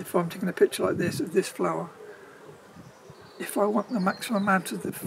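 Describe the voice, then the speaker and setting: A man talking over noticeable background noise. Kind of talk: tutorial. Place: garden.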